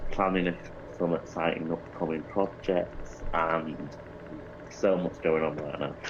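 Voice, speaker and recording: A man with an English accent speaks at a moderate pace. His very deep voice has fairly even intonation. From Greater Manchester, England. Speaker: actor and singer-songwriter. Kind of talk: casual interview.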